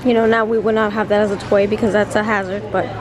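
Music plays in the background as a woman speaks. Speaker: vlogger. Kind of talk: casual vlog chat. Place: shop. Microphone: phone near.

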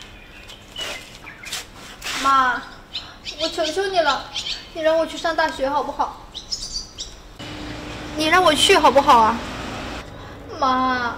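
A woman's high-pitched voice at a very slow pace, with ordinary pitch variation, big swings in loudness and noticeable background noise. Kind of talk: acted drama dialogue. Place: street.

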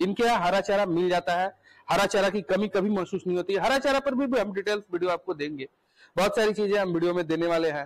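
A high-pitched male voice, its pitch variation ordinary

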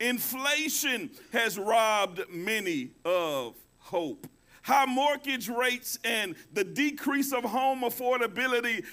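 A man speaks in a raised, projected voice with a bright, sharp tone. His pace is very slow. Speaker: pastor. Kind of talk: sermon. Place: church.

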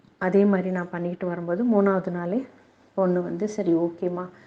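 A woman's medium-pitched, dark, mellow voice in a flat monotone. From Tamil Nadu, Vaniyambadi. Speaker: parishioner giving testimony. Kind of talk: religious testimony.

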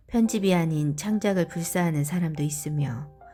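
Over music in the background, a woman speaks fairly slowly in a calm, soothing tone, her fairly low pitch showing ordinary variation. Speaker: voice acting trainee, beginner audiobook reader. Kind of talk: audiobook reading of a self-help essay.

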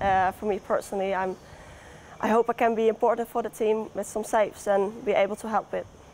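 A woman's fairly high, monotone voice with flat intonation and a Dutch accent, at a fairly quick pace over light background noise. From Netherlands. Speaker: professional football goalkeeper. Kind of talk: interview. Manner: hesitant. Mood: relaxed, cheerful. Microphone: lapel.

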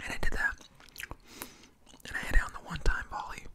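A man whispering at a moderate pace over light background noise. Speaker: mukbang-style storyteller. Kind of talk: casual vlog chat. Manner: close-mic ASMR whisper, storytelling. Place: home room. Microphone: studio mic.

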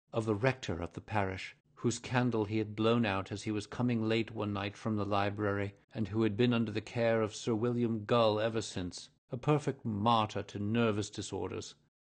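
Over a quiet background, a man speaks with hardly any pauses. His intonation is monotone and flat. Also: fairly low pitch for a man, moderate pace. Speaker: voice actor. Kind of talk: audiobook reading.

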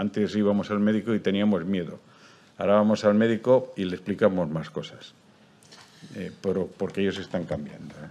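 At a fairly quick pace, a man with a fairly low pitch and a dark, mellow tone talks with big swings in loudness. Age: 70s. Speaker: heart patient. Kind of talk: testimony. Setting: stage with audience. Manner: animated.

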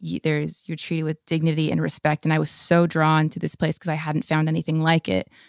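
On a very clean recording with a silent background, a woman with a West Coast American accent speaks at a very deep, low pitch in a flat monotone, the sound dry and close with no echo. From Southern California. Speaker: indie rock singer and guitarist. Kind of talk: interview.

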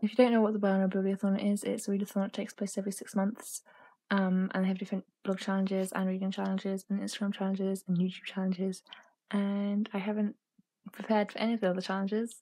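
A woman's somewhat breathy, dark, mellow voice, very fast and monotone, over a quiet background. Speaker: book vlogger. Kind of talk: casual vlog chat. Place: home room. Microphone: phone near.

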